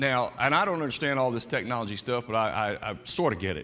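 This man's voice has a bright, sharp tone. His pitch swings very widely. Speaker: preacher. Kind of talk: sermon. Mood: light, joking. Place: church.

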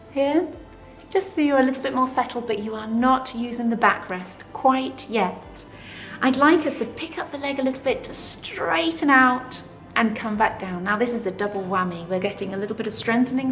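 A woman's high-pitched voice at a moderate pace, with faint music in the background. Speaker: fitness instructor. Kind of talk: tutorial. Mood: warm, encouraging. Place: studio.

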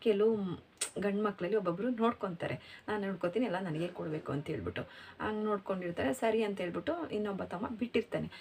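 A woman at medium pitch, her pitch varying in an ordinary way. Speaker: vlogger. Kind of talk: casual talk to camera. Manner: self-described mispronunciations.

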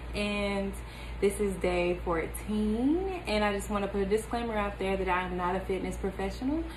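Noticeable background noise behind a woman's moderate-paced speech. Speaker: home fitness vlogger. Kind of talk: casual vlog chat. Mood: upbeat, friendly. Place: home room. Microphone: phone near.

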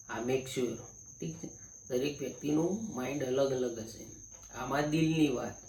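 Audible room echo surrounds a voice that shows big swings in loudness and ordinary pitch variation. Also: man, medium pitch for a man. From Gujarat, India. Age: 30s. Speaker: vlogger. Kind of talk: personal monologue. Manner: casual, repetitive filler.

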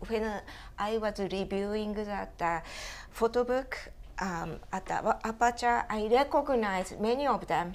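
A woman with a Japanese accent, fairly high in pitch, at a fairly slow pace with ordinary pitch variation. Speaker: photo book consultant, publisher. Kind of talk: panel discussion. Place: home room. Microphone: lapel.

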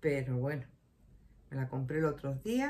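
Her voice has a dark, mellow tone, somewhat breathy, with very wide pitch swings. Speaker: shopping vlogger. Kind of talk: casual vlog chat. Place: home room. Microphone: phone near.

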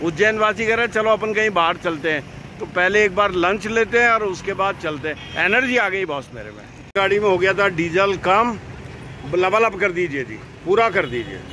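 A man's high, raised and projected voice, dry with no echo, over light background noise. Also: ordinary pitch variation, moderate pace. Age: 60s. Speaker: caravan travel vlogger. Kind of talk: casual vlog talk to camera.

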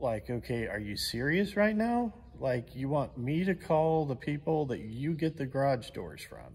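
Fairly slow, somewhat breathy speech from a man with an American accent, fairly high in pitch, with very wide pitch swings and hardly any pauses. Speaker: channel host and vlogger. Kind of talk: angry rant, sarcastic complaint about supply delays. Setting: shop recliner, home workshop. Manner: exasperated, incredulous, rhetorical questions; casual, conversational. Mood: frustrated, exasperated. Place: garage. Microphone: phone near.

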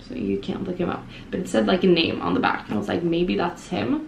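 Against noticeable background noise, a woman speaks fairly quickly in a fairly low pitch. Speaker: vlogger. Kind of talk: casual vlog chat. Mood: amused storytelling. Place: home room. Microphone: phone near.

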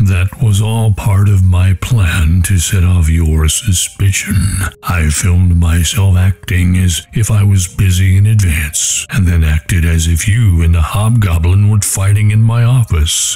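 A man with a very deep, low pitch, ordinary pitch variation, very even loudness and a fairly slow pace with hardly any pauses, music in the background. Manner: smug, gloating.

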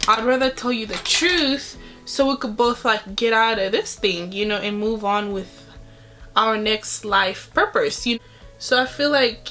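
Ordinary pitch variation in a woman's speech. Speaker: beauty vlogger. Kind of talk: casual vlog chat. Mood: earnest, opinionated. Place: home room. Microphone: phone near.

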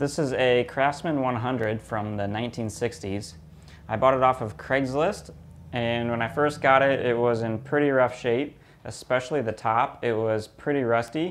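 Light background noise sits behind the speaker. A man talks at a moderate pace with ordinary pitch variation. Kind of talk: tutorial. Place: workshop. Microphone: lapel.

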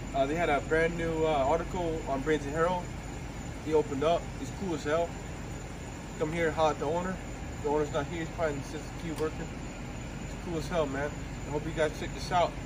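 Noticeable background noise surrounds this man. He talks at a fairly quick pace. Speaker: food vlogger. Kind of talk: casual vlog chat. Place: street. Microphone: phone near.

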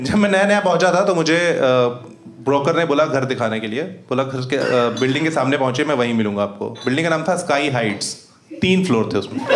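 This man has a plain, everyday voice, fairly high in pitch. He talks at a moderate pace over light background noise. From Rewa, Madhya Pradesh, India. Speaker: stand-up comedian. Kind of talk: live stand-up comedy set. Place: stage.

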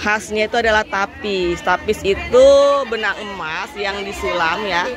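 The speech moves at a fairly slow pace with ordinary pitch variation. The sound is dry with no echo, with crowd noise in the background. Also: woman. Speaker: travel vlogger. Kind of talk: casual vlog chat. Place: market.

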